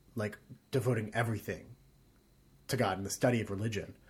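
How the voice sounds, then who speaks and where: Pitch moves in an ordinary way. There is a somewhat breathy quality to the voice. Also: man. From Arkansas. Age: 20s. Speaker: stage actor. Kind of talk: casual chat. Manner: animated.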